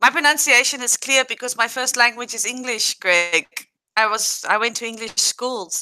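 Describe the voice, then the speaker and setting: With a South African accent, a woman speaks at a moderate pace in a bright, sharp tone, fairly high in pitch with ordinary variation, in a dry, close recording with no echo. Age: 30s. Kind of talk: casual chat. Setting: livestream.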